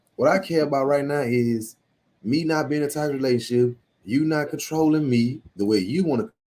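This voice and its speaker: A man is speaking. His tone is dark and mellow. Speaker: married-couple podcast co-host. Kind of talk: casual chat. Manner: loud; aggressive tone.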